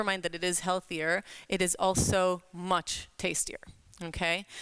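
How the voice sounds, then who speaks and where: At a fairly slow pace, a woman with a medium pitch speaks on a very clean recording with a silent background. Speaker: cooking instructor. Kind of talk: live cooking workshop. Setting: workshop with audience, PA mic. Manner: loud; hesitant.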